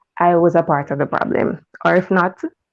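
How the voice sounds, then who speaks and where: A woman with a Jamaican accent speaks at a fairly low pitch. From Jamaica, Portmore, Saint Catherine. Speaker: caller. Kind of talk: casual chat.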